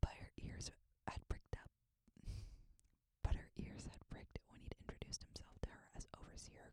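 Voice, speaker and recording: The speaker is whispering. The pace is moderate. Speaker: ASMR creator, audiobook-style reader. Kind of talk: ASMR bedtime reading of a fantasy novel.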